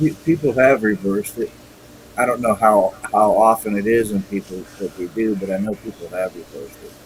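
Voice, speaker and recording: Over noticeable background noise, the speaker talks at a fairly quick pace with ordinary pitch variation and big swings in loudness. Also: man, fairly low pitch for a man. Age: 50s. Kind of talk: casual chat.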